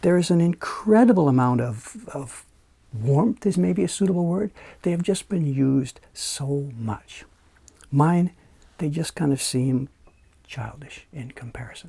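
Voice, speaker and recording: At a fairly slow pace, a man with a fairly high pitch and a dark, mellow, relaxed tone sounds somewhat breathy, his intonation lively. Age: 60s. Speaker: woodblock printmaker. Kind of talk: talking-to-camera monologue. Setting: small room in his building. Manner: relaxed, conversational.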